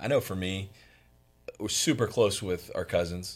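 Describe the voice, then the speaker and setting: A man talks at a very deep, low pitch. The recording is very clean, with a silent background. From Florida, Fort Myers. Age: 30s. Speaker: insurance business owner. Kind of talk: interview.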